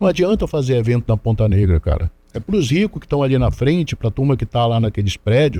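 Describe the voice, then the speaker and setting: A man's dark, mellow, somewhat breathy voice at medium pitch, fairly quick, with very wide pitch swings, very even loudness and a dry, close sound with no echo. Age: 60s. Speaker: DJ and council candidate. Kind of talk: interview. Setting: studio. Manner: halting with repetitions.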